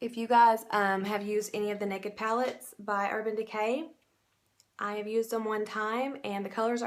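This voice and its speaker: A woman with a Southern US accent speaks at a fairly high pitch in a flat, monotone delivery. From US South. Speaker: makeup seller and beauty vlogger; makeup seller, beauty vlogger. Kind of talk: makeup tutorial. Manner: casual, chatty. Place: home room. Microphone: phone near.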